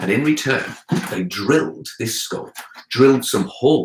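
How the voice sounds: A voice reads in a natural way. Its intonation moves in a lively way.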